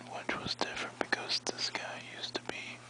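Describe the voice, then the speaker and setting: Someone whispers in a relaxed tone at a fairly slow pace. Noticeable background noise runs underneath. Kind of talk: ASMR-style sleepy talk to camera, relaxing whispering. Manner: whispered, relaxed, rambling.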